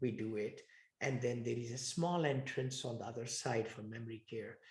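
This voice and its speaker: Somewhat breathy, a man talks at a moderate pace with medium pitch and fairly even intonation. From India. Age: 60s. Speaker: real estate investor. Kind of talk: interview.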